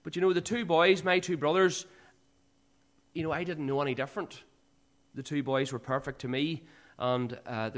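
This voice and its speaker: In a Northern Irish accent, a man with a fairly high pitch speaks at a fairly quick pace with ordinary pitch variation and long, frequent pauses, on a very clean recording with a silent background. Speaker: church speaker giving testimony. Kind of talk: testimony. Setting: church.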